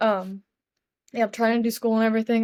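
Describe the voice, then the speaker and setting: In a very clean recording with a silent background, a woman speaks at a fairly high pitch with monotone, flat intonation. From Tennessee. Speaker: college athlete. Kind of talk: interview testimony. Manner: casual, filler-heavy.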